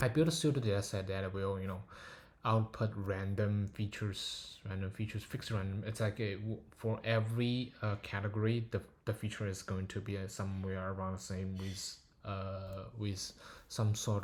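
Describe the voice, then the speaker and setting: On a very clean recording with a silent background, a man talks in a fairly low, somewhat breathy voice with fairly even intonation. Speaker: machine learning paper reviewer. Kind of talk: technical paper walkthrough. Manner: slow; hesitant, many filler words.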